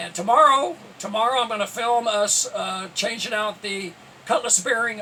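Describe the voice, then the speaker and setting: A man speaks in a raised, projected voice at a high pitch. He talks fairly quickly with ordinary pitch variation. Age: 70s. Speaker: sailing vlogger. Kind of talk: casual vlog talk to camera. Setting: on a small sailboat. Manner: halting, many fillers.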